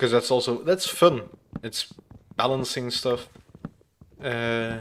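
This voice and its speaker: In a non-native accent, this voice moves very slowly with ordinary pitch variation. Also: man, medium pitch for a man. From Flanders, Belgium. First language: Dutch (Flemish). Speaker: gaming streamer. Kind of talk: live gameplay stream chat. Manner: hesitant, many fillers.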